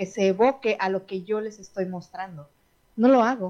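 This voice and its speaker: A normal speaking voice at a moderate pace. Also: woman. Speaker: radio show host, wellness talk. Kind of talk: casual chat. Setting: radio studio, also streamed on Instagram.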